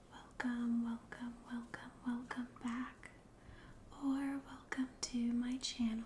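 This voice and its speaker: A soft-spoken woman talks at a very slow pace with a high pitch. Her intonation stays monotone and flat. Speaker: ASMR creator. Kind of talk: casual talk to camera.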